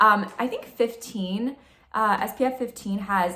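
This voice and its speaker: At a moderate pace, a woman is talking. Her tone is bright and sharp. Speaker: beauty and spiritual vlogger. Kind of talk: casual vlog talk.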